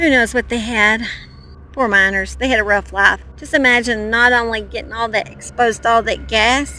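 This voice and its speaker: A woman talks at a moderate pace in an Oklahoma accent. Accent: Southern US, Oklahoma. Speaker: true crime youtuber. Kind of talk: casual vlog narration. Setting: outdoors on a mountain. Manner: animated.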